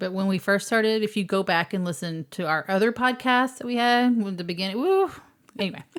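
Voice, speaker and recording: Speaking at a fairly quick pace, a woman uses a medium pitch. Her pitch variation is ordinary. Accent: slight Texas. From Texas. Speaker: podcast co-host. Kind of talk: casual chat.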